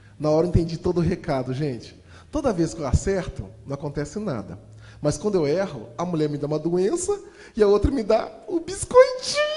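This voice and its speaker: A man's animated voice at a fairly quick pace, with noticeable background noise. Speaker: motivational speaker and storyteller. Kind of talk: motivational storytelling talk. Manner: fast.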